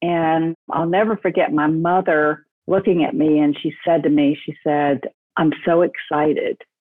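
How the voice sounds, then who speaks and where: A normal speaking voice with ordinary pitch variation, at a fairly slow pace. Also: woman, fairly low pitch for a woman. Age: 60s. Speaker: entrepreneur, staffing company founder. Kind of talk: interview, personal story.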